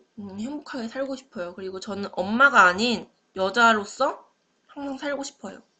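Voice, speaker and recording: Her voice is bright and sharp, fairly high for a woman, moving at a moderate pace with ordinary pitch variation and big swings in loudness. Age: 20s. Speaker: university student. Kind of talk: class presentation. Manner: halting.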